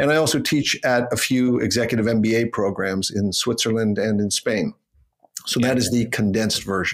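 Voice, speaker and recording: With a Canadian accent, a man has a plain, everyday voice at medium pitch, speaking at a moderate pace with fairly even intonation and very even loudness. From Canada. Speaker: public speaking coach. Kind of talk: interview.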